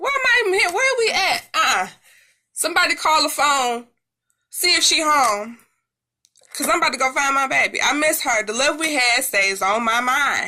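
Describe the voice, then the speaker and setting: Her voice raised and projected, a woman speaks at a moderate pace in a high, bright, sharp tone, animated and with very wide pitch swings. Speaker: music commentator YouTuber. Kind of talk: casual commentary.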